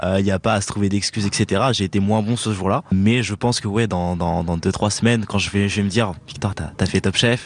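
A man with an unremarkable speaking voice talks at a fairly low pitch and a moderate pace, his intonation fairly even. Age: 20s. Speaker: chef. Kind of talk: interview.

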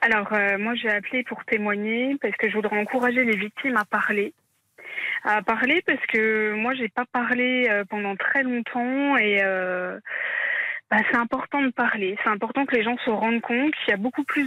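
A woman speaks with a fairly high pitch and a bright, sharp tone. The sound is dry and close, with no echo. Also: ordinary pitch variation, moderate pace. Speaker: caller, incest survivor. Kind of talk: testimony. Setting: phone call.

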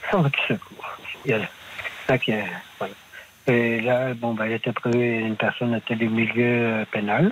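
Speech comes at a very slow pace with long, frequent pauses and fairly even intonation. Noticeable background noise runs underneath. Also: man, medium pitch for a man. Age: 50s. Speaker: market gardener. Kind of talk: phone-in testimony. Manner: halting.

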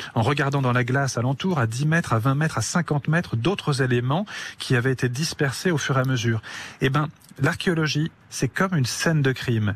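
This man's voice is somewhat breathy, with ordinary pitch variation and a moderate pace. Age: 40s. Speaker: forensic anthropologist. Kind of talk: radio interview. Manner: halting, frequent repetitions.

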